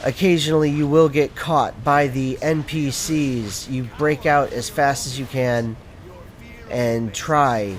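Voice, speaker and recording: Noticeable background noise runs under this recording of a man. His pitch is medium, with ordinary pitch variation. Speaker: gameplay commentator. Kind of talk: video game commentary. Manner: analytical, explanatory.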